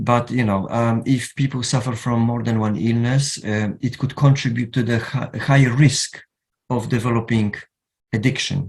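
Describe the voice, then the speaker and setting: A man talks with a Polish accent. His voice is somewhat breathy and his intonation fairly even. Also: medium pitch for a man, moderate pace. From Poland. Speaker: counsellor. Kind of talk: lecture. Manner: halting.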